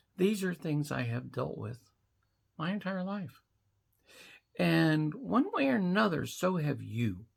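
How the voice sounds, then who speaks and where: A woman with a very deep, low pitch speaks at a fairly slow pace, her voice making very wide pitch swings. Long, frequent pauses break her speech on a very clean recording with a silent background. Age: 60s. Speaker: vlogger. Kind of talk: casual monologue to camera.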